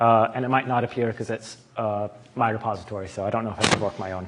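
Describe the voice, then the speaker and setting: A man with an American accent at medium pitch, very fast pace and fairly even intonation, amid noticeable background noise. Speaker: tutorial leader at summer school. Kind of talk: tutorial.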